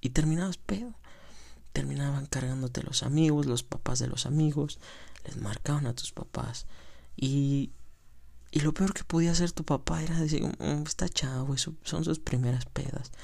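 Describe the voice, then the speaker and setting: A man with a fairly high pitch and a somewhat breathy voice speaks at a fairly slow pace, his pitch varying in an ordinary way. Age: 20s. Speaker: amateur podcaster. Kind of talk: casual monologue.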